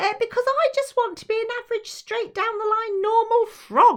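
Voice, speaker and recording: This put-on character voice is squeaky and extremely high pitched. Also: moderate pace. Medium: read story.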